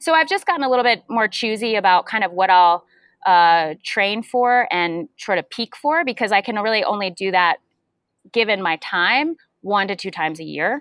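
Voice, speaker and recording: A plain, everyday voice: a woman at medium pitch with lively intonation. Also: moderate pace. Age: 40s. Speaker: strength and fitness coach. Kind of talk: casual chat.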